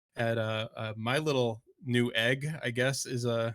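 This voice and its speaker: A loud man's voice at medium pitch, bright and sharp in tone, with ordinary pitch variation. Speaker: livestream co-host. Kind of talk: casual chat.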